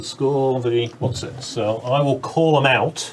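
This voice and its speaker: Over noticeable background noise, a man with an English accent speaks at a medium pitch with fairly even intonation. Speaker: board game player. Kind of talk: casual chat.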